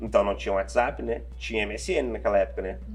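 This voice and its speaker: With audible room echo around him, a man talks at a fairly quick pace, his voice showing vocal fry. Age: 20s. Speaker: pizzeria founder. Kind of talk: casual interview.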